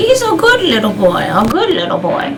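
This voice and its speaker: A woman uses a put-on character voice at a moderate pace. Loud background noise fills the recording. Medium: comedy sketch.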